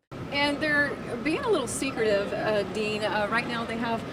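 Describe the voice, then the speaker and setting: A woman's fairly high voice with an American accent at a moderate pace, against noticeable background noise. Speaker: TV news reporter. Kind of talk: live TV news report.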